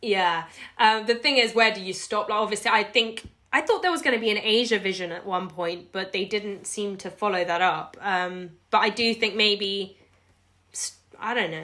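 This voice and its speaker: In a British accent, the speaker talks at a moderate pace with a bright, sharp tone. The recording is very clean, with a silent background. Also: woman, medium pitch for a woman, ordinary pitch variation. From UK. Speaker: video blogger. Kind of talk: casual interview. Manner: animated.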